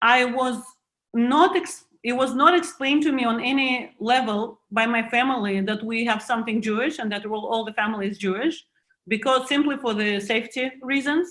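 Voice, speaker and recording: Her pitch high, a woman talks at a moderate pace. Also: ordinary pitch variation. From Russia. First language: Russian. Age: 40s. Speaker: author and museum board chair. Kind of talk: online panel conversation. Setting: video call. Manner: halting, with frequent restarts.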